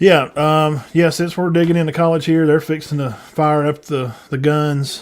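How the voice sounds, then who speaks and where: With a Southern US accent, a man speaks at a fairly high pitch with fairly even intonation. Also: moderate pace. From US South, northeast Alabama. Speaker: sports podcast host. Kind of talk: casual chat. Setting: live stream.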